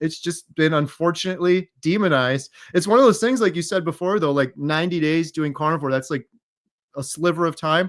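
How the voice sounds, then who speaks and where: This very clean recording has a silent background and a dry, close sound with no echo. A man with an ordinary speaking voice talks at a fairly high pitch and a fairly quick pace. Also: ordinary pitch variation. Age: 40s. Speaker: interviewee sharing health recovery story. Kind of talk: interview.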